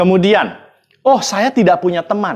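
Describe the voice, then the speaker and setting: A man speaks in a high, shrill pitch. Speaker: public speaking coach. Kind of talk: educational talk to camera.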